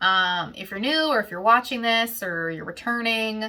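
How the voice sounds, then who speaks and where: A woman's fairly high, bright, sharp voice with an American accent, fairly slow pace and ordinary pitch variation. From Western Pennsylvania. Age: 20s. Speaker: knitting podcaster. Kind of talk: casual Q&A chat. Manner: chatty, with many fillers.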